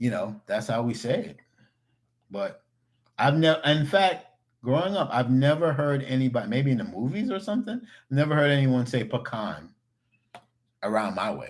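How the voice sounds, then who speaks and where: Animated in tone, a man with a New York accent and a fairly high pitch makes very wide pitch swings and takes long, frequent pauses. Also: moderate pace. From New York (Queens, Long Island). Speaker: cooking YouTuber. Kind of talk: livestream chat. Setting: livestream with webcam. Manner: casual, animated.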